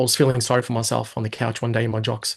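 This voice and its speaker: Speaking at a very fast pace, a man talks with an Australian accent. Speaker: hypnosis and NLP coach. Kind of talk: interview. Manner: stutter.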